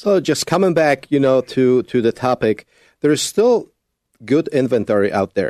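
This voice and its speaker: Recorded dry and close with no echo and a quiet background, a man's medium-pitched voice has a dark, mellow tone, lively intonation and very even loudness. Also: moderate pace. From Poland. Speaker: realtor. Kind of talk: radio interview.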